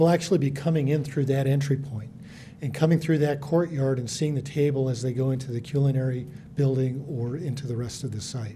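The man talks at a fairly quick pace with fairly even intonation. Light background noise can be heard. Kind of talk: public meeting presentation. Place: hall.

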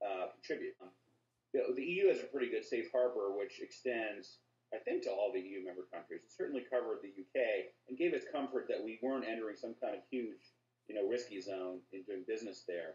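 Audible room echo surrounds a man speaking at a moderate pace. His loudness swings widely. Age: 30s. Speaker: lawyer. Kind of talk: interview. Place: home room. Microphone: video call.

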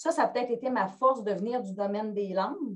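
With a Quebec accent, the speaker talks at a moderate pace and with lively intonation. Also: woman. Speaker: pedagogical advisor. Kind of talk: online group discussion. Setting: video call. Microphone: video call.

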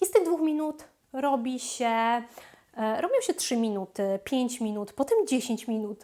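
Speaking at a very slow pace, a woman with a high pitch and a dark, mellow tone moves through very wide pitch swings. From Poland. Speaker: language coach and YouTuber. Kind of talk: educational video monologue. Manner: frequent filler hesitations.

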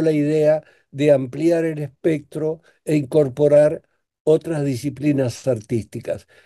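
With a dark, mellow tone, a man speaks at a very slow pace against a quiet background. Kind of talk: interview answer. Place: home room. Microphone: video call.

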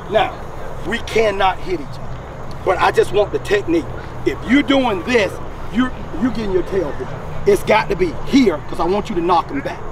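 A man speaks at a moderate pace with ordinary pitch variation. The sound is dry with no echo, and there is noticeable background noise. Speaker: football coach. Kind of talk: coaching instruction. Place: open country. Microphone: camera far.

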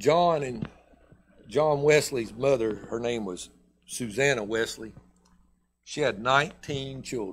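Over light background noise, a man with a Southern US accent speaks at a very slow pace with long, frequent pauses and ordinary pitch variation. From US South. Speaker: pastor. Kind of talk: sermon. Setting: church. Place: church.

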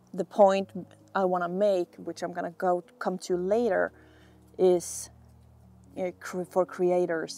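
Fairly low-pitched female speech at a fairly slow pace with fairly even intonation, dry sound with no echo, and music in the background. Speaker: video creator. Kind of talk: casual vlog chat. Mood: relaxed, reflective. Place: street.

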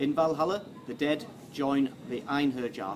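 A man is talking. Noticeable background noise runs underneath. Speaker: vlogger. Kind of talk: history commentary to camera. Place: street.

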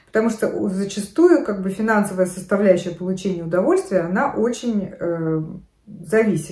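Against a quiet background with audible room echo, a woman speaks with ordinary pitch variation. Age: 50s. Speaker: fashion and lifestyle vlogger. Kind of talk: casual talk to camera. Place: home room. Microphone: phone near.

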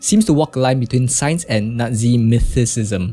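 Faint music plays behind a man's voice. He talks at a moderate pace with ordinary pitch variation. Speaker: gamer streamer. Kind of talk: reading game notes aloud, gameplay commentary. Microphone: studio mic.

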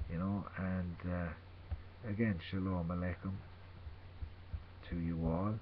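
In a very deep, low pitch, a man speaks at a very slow pace. His intonation is monotone and flat, with light background noise behind him. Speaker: religious vlogger. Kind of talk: informal sermon / scripture reading. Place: home room. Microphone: webcam.

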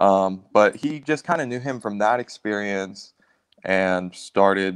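Over a quiet background, a man talks fairly slowly at a fairly low pitch with ordinary pitch variation. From South Carolina, Myrtle Beach area; South Carolina. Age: 20s. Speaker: musician in a band; guest. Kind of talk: casual interview chat. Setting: video call. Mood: relaxed, friendly. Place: home room.

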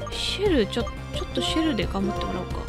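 A woman speaks in an upbeat, excited tone with music in the background. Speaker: voice actor. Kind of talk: casual video game let's play commentary.

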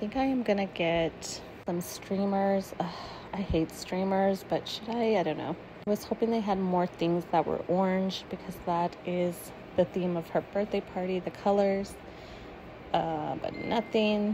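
Over noticeable background noise, a woman speaks at a fairly slow pace. Her intonation is fairly even. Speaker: shopper vlogger. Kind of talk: casual vlog chat. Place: shop. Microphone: phone near.

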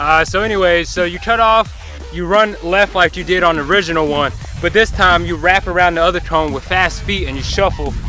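Faint music plays in the background as a man speaks in a high pitch at a fairly quick pace. The sound is dry, with no echo. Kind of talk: casual vlog tutorial. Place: open country. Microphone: phone near.

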